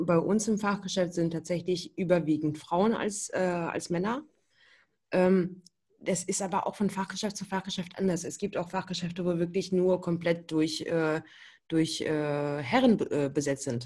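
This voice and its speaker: A woman's fairly low, dark and mellow voice, somewhat breathy, with ordinary pitch variation and a fairly slow pace over a quiet background. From Berlin, Germany. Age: 20s. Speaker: hearing aid acoustician. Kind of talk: podcast interview.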